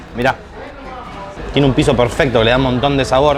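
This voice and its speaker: A man's fairly high voice with fairly even intonation, audible room echo and music in the background. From Buenos Aires, Argentina. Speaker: food reviewer. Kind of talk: casual food-tasting commentary.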